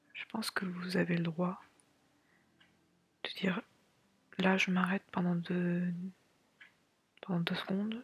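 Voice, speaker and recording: Quiet whispering at a fairly slow pace, with music in the background. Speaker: artist / illustrator vlogger. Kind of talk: casual talk to camera. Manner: whispered, quiet, relaxed.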